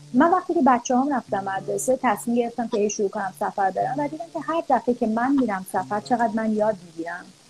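A woman's fairly high voice with very wide pitch swings, a very fast pace and hardly any pauses, over music in the background. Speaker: early childhood educator and parenting coach. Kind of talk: interview.

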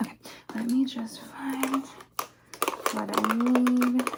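Long, frequent pauses break up very slow speech, with noticeable background noise behind it. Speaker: ASMR creator. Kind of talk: ASMR roleplay. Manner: animated.

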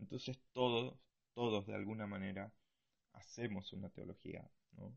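A man speaks fairly slowly with vocal fry and fairly even intonation. His loudness swings widely, and his pauses are long and frequent. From Argentina. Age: 20s. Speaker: missionary and podcast host. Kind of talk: bible teaching talk. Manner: hesitant, many fillers.

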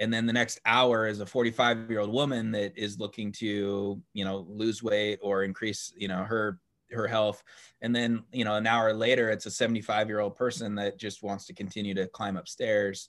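With an unremarkable speaking voice, a man keeps a moderate pace, a fairly low pitch and fairly even intonation. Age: 40s. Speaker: startup community founder. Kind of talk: interview.

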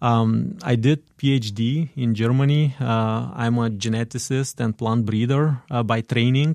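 With a Bulgarian accent, a man speaks at a medium pitch and fairly even intonation, captured in a very clean, dry, close recording with a silent background and no echo. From Bulgaria (Dobrich, northeast). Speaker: immigrant sharing life story. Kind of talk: radio interview. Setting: studio.

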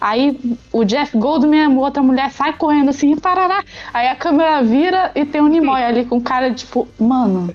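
With music in the background, a woman speaks at a high pitch and a moderate pace, her pitch varying in an ordinary way and her loudness very even. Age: 20s. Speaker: podcast guest discussing films. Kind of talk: casual chat.

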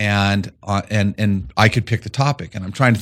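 A man's fairly low-pitched, normal speaking voice with an American accent, ordinary pitch variation and a moderate pace, in a very clean recording with a silent background. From Colorado, rural eastern plains. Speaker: management consultant. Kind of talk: interview.

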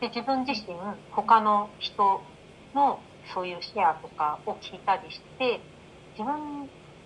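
A woman with a fairly high pitch speaks slowly, with lively intonation and big swings in loudness. She leaves long, frequent pauses, and noticeable background noise runs underneath. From Japan. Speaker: life coach. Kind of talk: interview.

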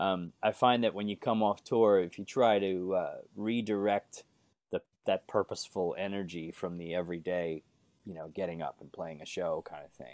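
With an American accent, a plain, everyday voice talks at a moderate pace with ordinary pitch variation and big swings in loudness. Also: man, fairly low pitch for a man. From Bronx, New York. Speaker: lead singer and musician. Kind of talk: casual interview chat. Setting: home recording studio, video call.

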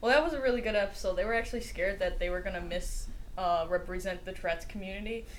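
A woman talking at a very fast pace, with audible room echo and noticeable background noise. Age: young. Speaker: podcast co-host. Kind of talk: casual chat.

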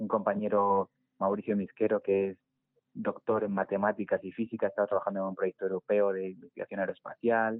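Monotone and flat in intonation, a man speaks at a fairly low pitch and a fairly quick pace. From Spain, Segovia. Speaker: environmental scientist and climate activist. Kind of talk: interview.

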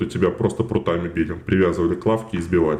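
A man's dark, mellow voice at a very fast pace with ordinary pitch variation. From Russia, Moscow. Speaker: actor and TikTok creator. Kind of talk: casual interview chat.

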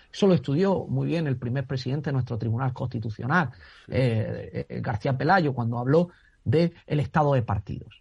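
A man's somewhat breathy, medium-pitched voice with ordinary pitch variation at a moderate pace, over a quiet background. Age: 30s. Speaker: constitutional law professor. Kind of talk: radio discussion. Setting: phone call. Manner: halting.

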